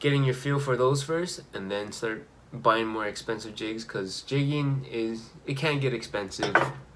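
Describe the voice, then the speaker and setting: Against noticeable background noise and audible room echo, a medium-pitched man talks at a fairly slow pace with hardly any pauses and ordinary pitch variation. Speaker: fishing vlogger. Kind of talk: casual tutorial.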